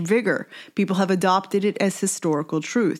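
A woman with an American accent speaks in a plain, everyday voice at a medium pitch. Her pitch variation is ordinary, and the recording is very clean with a silent background. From United States. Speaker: podcast host and activist. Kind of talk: scripted narration.

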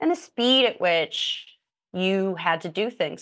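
Someone speaks at a moderate pace with an American accent against a quiet background. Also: woman. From Indiana, US Midwest. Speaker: writer and podcast co-host. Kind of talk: casual interview conversation.

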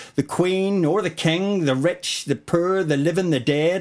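In a very clean recording with a silent background, a man with a Northern Irish accent speaks at a moderate pace in a high pitch. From Northern Ireland. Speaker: spoken word poet. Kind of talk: casual interview chat with poetry reading. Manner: confident.

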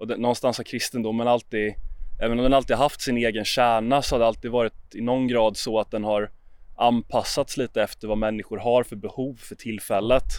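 A man's medium-pitched voice, monotone and flat, at a fairly quick pace on a very clean recording with a silent background. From Sweden, Jönköping. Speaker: podcast host. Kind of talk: casual discussion.

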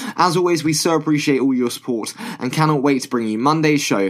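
Noticeable background noise sits under a man speaking at a very fast pace with ordinary pitch variation. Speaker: podcast host. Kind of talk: podcast intro and outro.

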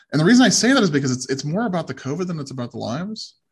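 A man's very fast, somewhat breathy speech with very wide pitch swings. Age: 30s. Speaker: podcast host. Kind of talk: interview. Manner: hesitant, frequent fillers.

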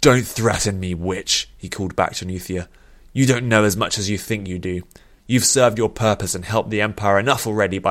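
Pitch varies in an ordinary way throughout this natural reading voice.

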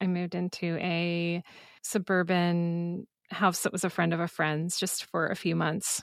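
This woman speaks with a Midwestern American accent. The recording is very clean, with a silent background. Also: dry, close sound with no echo. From Iowa. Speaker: podcast host. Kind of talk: scripted narration; interview conversation.

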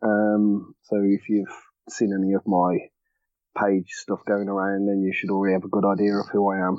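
Speaking in a Birmingham accent, a man keeps a moderate pace with monotone, flat intonation. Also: fairly low pitch for a man. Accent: Brummie. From Birmingham, England. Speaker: parent blogger. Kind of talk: casual chat.

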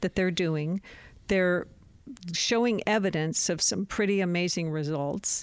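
A woman in a normal speaking voice, fairly low-pitched with ordinary pitch variation, at a moderate pace, in a very clean recording with a silent background and a dry, close sound with no echo. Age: 60s. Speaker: documentary filmmaker. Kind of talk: interview conversation.

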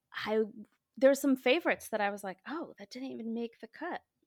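With an American accent, a woman speaks at a high pitch with lively intonation, and the sound is dry and close with no echo. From Michigan. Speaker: children's book author and illustrator. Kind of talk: casual chat.

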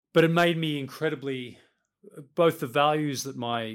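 Here a man speaks with an Australian accent and ordinary pitch variation. The recording is very clean, with a silent background. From Australia, Western Sydney. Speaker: chief executive. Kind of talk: interview.

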